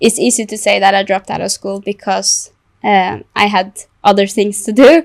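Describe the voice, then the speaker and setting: In a Norwegian accent, a woman speaks at a fairly slow pace with fairly even intonation, the sound dry and close with no echo. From Norway. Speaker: content creator and illustrator. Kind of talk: podcast interview. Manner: halting.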